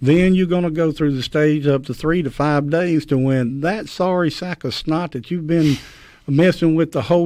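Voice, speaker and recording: In a Mississippi accent, a man speaks with a dark, mellow tone at a fairly high pitch. His pace is moderate and his intonation fairly even. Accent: US Southern (Mississippi). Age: 60s. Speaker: champion turkey caller. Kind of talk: radio interview. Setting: radio studio.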